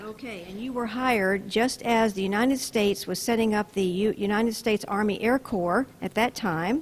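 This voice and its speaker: Fairly high in pitch, a woman with an unremarkable speaking voice talks with ordinary pitch variation. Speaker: interviewer, local history host. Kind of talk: on-location interview host. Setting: outdoors.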